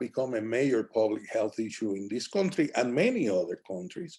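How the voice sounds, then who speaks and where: A man speaks with a Spanish accent. His tone is dark and mellow, and his intonation is lively. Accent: Spanish accent, noticeable. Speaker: physician presenter. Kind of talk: lecture.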